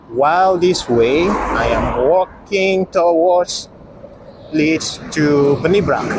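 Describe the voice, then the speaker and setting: Speaking at a very slow pace, a man has a high pitch, ordinary pitch variation and very even loudness. Noticeable background noise runs underneath. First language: not English. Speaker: travel vlogger. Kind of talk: vlog narration.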